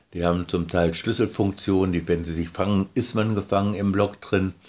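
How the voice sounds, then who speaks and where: Fairly even intonation marks the very deep, low voice of this man. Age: 80s+. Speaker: board game designer. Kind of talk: interview. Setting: sitting at a table.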